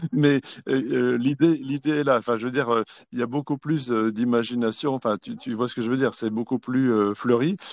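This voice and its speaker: At a fairly quick pace, a man speaks in a medium pitch with fairly even intonation, the sound dry and close with no echo. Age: 60s. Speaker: conference participant. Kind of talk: testimony. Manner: halting.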